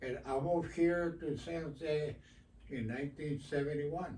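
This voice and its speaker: A man's somewhat breathy, fairly high voice with a dark, mellow tone and an American accent, very slow and fairly even in intonation, with audible room echo. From Texas (Eagle Pass, border town). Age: 80s+. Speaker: community activist. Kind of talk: radio interview. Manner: halting, many fillers and repetitions.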